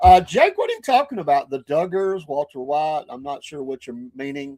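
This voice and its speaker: A man with a Southern US accent talks at a moderate pace in a fairly high pitch with ordinary pitch variation and big swings in loudness. The sound is dry and close, with no echo. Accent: Southern twang. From northern Georgia near Tennessee. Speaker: podcast host. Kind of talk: casual live-stream chat. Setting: live stream with chat.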